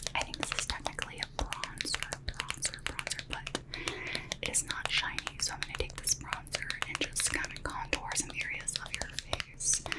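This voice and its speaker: Whispering over noticeable background noise. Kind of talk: ASMR makeup roleplay. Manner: whispered; soft-spoken, slow.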